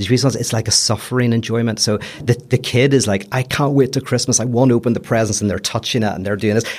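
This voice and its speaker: This man talks very fast with a strong Belfast accent. His pitch is medium and his intonation fairly even. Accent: Belfast accent, kept strongly. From Belfast, Northern Ireland. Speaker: philosopher. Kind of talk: casual chat.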